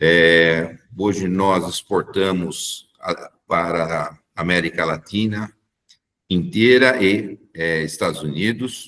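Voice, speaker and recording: Very slowly, a man speaks with a very deep, low pitch and a bright, sharp tone. His pitch varies in an ordinary way. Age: 60s. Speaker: engineer and company technical director. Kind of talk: corporate presentation. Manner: hesitant, frequent filler 'é'.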